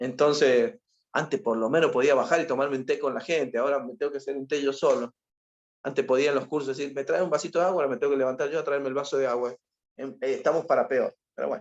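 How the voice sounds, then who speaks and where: A man's fairly high voice at a very fast pace, with ordinary pitch variation. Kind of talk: lecture. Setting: video call webinar, alone at home. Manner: animated.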